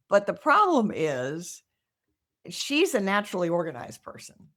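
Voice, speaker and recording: A woman with an American accent talks at medium pitch, her voice making very wide pitch swings. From US Midwest, Nebraska. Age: 70s. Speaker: decluttering expert, author. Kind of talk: interview.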